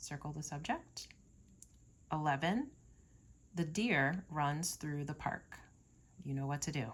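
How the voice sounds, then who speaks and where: At a fairly slow pace, a woman with a very deep, low, somewhat breathy voice speaks with ordinary pitch variation and long, frequent pauses. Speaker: teacher. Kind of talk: tutorial.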